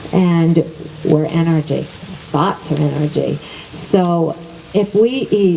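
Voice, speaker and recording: This woman's voice sits fairly low, with ordinary pitch variation. She speaks at a fairly slow pace over noticeable background noise. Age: 60s. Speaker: wellness teacher. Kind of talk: teaching talk.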